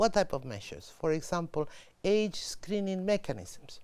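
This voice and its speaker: Here a woman has an ordinary speaking voice, fairly low in pitch, at a moderate pace. Her intonation is lively, and the recording is very clean with a silent background. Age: 60s. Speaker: UN official. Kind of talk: interview.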